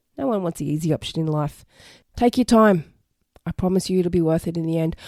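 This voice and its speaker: A woman's croaky, put-on character voice, fairly low in pitch, at a very fast pace, in a dry, close sound with no echo. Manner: encouraging, reassuring.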